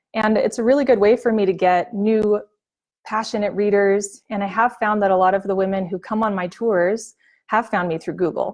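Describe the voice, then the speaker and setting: Over a quiet background, a woman with a normal speaking voice and medium pitch talks at a moderate pace in a North American accent, her intonation fairly even. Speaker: travel blogger. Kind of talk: webinar presentation. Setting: online webinar with slides.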